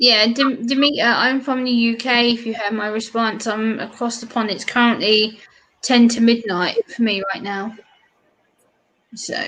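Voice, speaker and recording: In a British accent, a woman speaks at a moderate pace with a fairly high pitch and flat, monotone intonation. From UK. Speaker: live stream co-host. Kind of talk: casual chat.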